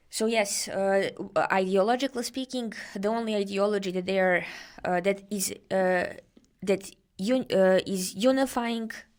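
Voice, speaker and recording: A woman with a Serbian accent speaks at medium pitch with fairly even intonation. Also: moderate pace. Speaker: guest researcher discussing protests. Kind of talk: podcast interview. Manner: halting, many fillers.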